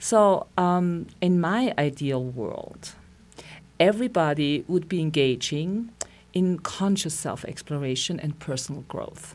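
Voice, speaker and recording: Speaking at a fairly slow pace, a woman with a German accent uses a fairly low pitch and lively intonation. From Austria. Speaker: psychotherapist. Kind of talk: interview. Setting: studio.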